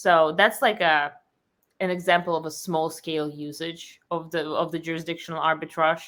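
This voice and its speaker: In a Russian accent, the speaker talks at a moderate pace with fairly even intonation in a very clean recording with a silent background. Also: woman, fairly low pitch for a woman. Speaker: company founder. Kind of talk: interview.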